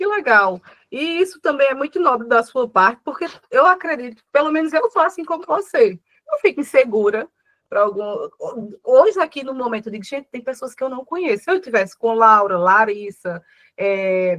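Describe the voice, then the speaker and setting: A woman's high voice swings very widely in pitch and loudness at a moderate pace, the sound dry and close with no echo. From Paraíba backlands, Brazil. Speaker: agribusiness communication speaker. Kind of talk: online talk with Q&A. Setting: video call.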